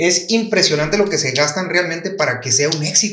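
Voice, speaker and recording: Speaking with a Mexican accent, a man with a high voice talks at a moderate pace with ordinary pitch variation, with audible room echo and noticeable background noise. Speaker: podcast guest. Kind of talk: casual chat.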